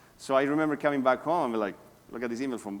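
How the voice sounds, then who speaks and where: A man's medium-pitched voice with a Spanish accent, very fast, with ordinary pitch variation. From South America. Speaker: real estate agent. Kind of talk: talk to a workshop audience.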